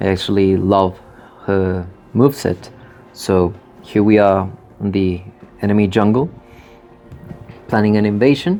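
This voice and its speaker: With music in the background, a man speaks at a moderate pace and fairly even intonation, leaving long, frequent pauses. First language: Spanish. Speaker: gamer commentator. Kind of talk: gameplay commentary.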